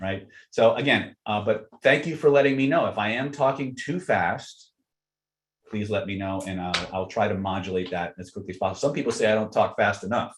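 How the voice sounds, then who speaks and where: Speaking at a fairly quick pace, a man with a fairly low, somewhat breathy voice uses lively intonation. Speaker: self-help teacher. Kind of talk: live webinar lecture. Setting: live online webinar. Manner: fast.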